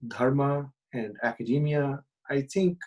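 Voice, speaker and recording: A man speaks with a Bengali accent. His pitch varies in an ordinary way. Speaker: professor. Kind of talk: casual interview. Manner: halting, many fillers.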